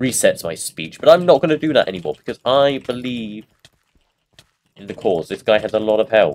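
The speaker has a British accent. The delivery comes at a fairly quick pace. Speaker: gaming YouTuber. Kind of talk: casual gameplay commentary.

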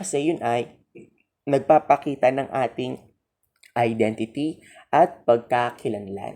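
The delivery is very slow. Long pauses come often. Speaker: teacher. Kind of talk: lecture.

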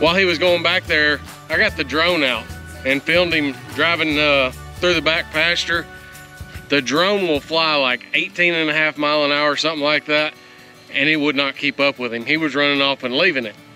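Man at a moderate pace with ordinary pitch variation, dry sound with no echo and faint music behind. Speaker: farm vlogger. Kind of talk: casual vlog chat. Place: open country. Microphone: phone near.

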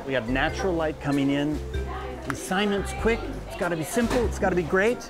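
Clear music in the background behind a male speaker. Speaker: show host. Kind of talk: tutorial. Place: shop. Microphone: phone near.

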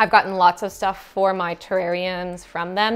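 At a fairly slow pace, a woman speaks at a medium pitch in a clear, smooth tone.

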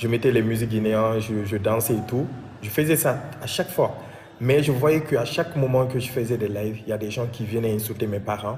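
Room echo and noticeable background noise are both audible. A man talks at a fairly quick pace, medium in pitch, with ordinary pitch variation. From Guinea, Conakry. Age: 20s. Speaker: interviewee sharing life story. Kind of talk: personal testimony interview. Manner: halting, repetitive.

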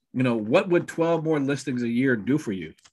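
With ordinary pitch variation and a fairly quick pace, a man talks over a quiet background. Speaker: real estate team coach. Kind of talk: training talk on a video call. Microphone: webcam.

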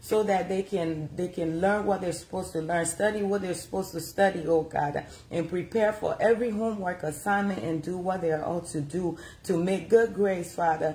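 A woman talks at a moderate pace with ordinary pitch variation over light background noise. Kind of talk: prayer. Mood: fervent earnest prayer. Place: home room. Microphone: phone near.

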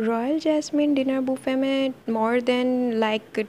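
A woman speaks with ordinary pitch variation. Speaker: food vlogger. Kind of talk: restaurant review narration.

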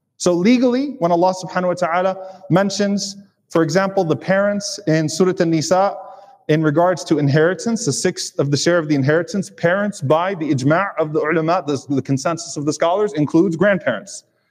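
A man talks in a high voice with ordinary pitch variation. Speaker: preacher. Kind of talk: sermon. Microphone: lapel.

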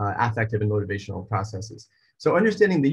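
Man, somewhat breathy. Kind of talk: lecture. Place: home room. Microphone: webcam.

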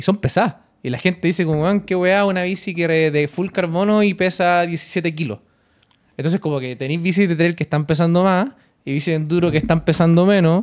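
A man with a Chilean accent speaks at a fairly quick pace and a high pitch, with ordinary pitch variation over a quiet background. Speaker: podcast co-host. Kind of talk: casual chat. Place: studio. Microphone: studio mic.

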